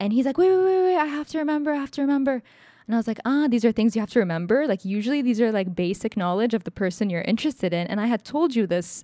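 A woman talks at a very fast pace with a fairly high pitch and lively intonation. The recording is very clean, with a silent background. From Egypt. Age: 20s. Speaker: podcast co-host. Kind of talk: casual chat.

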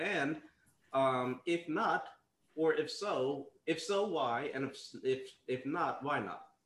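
A man with a normal speaking voice uses lively intonation at a fairly high pitch. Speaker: podcast host. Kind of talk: casual panel discussion.

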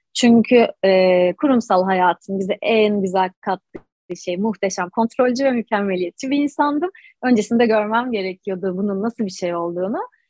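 A woman's medium-pitched voice, a plain, everyday voice, with ordinary pitch variation at a moderate pace and hardly any pauses. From Istanbul, Anatolian side. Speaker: holistic breath coach. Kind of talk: interview.

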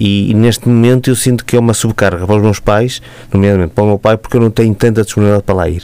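Very fast delivery with very even loudness and fairly even intonation. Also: man, fairly low pitch for a man. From Matosinhos area, northern Portugal. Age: 40s. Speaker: local politician. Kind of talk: radio interview. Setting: radio studio.

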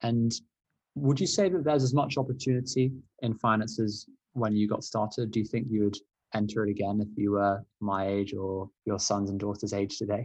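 A man with an ordinary speaking voice and a fairly low pitch talks at a moderate pace with fairly even intonation. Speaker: student podcast host. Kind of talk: interview.

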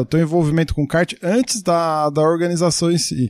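A man with a normal speaking voice, fairly high in pitch, at a moderate pace, in a dry, close sound with no echo. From Brazil, Santo André (ABC Paulista). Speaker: podcast host. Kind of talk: interview. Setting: video call.

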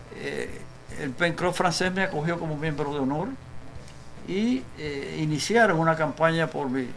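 A man with a fairly high pitch speaks at a fairly slow pace, with audible room echo and noticeable background noise. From Cuba (Cojímar). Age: 80s+. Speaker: writer and former political prisoner. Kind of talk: interview testimony.

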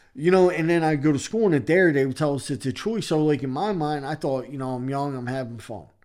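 A man with a Philadelphia accent talks at a very fast pace with hardly any pauses. His pitch varies in an ordinary way. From Philadelphia, Kensington. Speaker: recovering addict sharing his story. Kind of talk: podcast interview, personal testimony.

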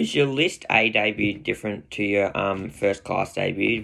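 A man with an Australian accent at a moderate pace, against a quiet background. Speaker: podcast host. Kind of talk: interview.

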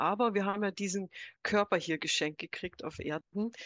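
In a plain, everyday voice, a woman speaks at a fairly low pitch with ordinary pitch variation. The sound is dry and close with no echo, over a quiet background. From USA. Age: 60s. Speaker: psychologist and business coach. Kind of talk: casual chat.

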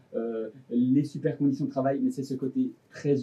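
A fairly high-pitched male voice at a moderate pace. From Switzerland. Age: 20s. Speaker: fashion designer. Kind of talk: casual interview. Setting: studio.

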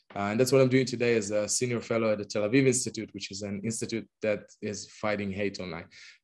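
A man with an Israeli accent talks at a very fast pace and a fairly low pitch, with fairly even intonation and hardly any pauses. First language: Hebrew. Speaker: LGBTQ+ activist. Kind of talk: interview.

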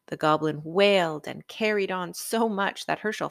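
The reading voice sounds natural, with ordinary variation in pitch.

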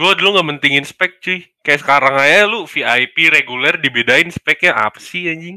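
Bright and sharp in tone, a man's fairly high voice moves at a moderate pace with ordinary pitch variation and hardly any pauses, recorded with a dry, close sound and no echo. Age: 20s. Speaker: podcast guest. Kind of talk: casual chat. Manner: animated.

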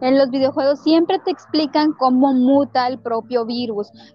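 Noticeable noise sits behind a woman speaking at a moderate pace. Her pitch is high, with ordinary variation. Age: 20s. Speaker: podcast host. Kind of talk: casual chat. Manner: animated.

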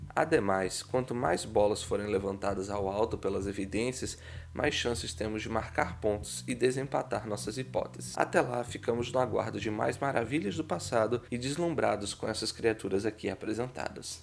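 A man with a Brazilian accent speaks at a moderate pace in a fairly low voice. His intonation is lively, with hardly any pauses. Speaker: science podcast host. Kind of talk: scripted narration.

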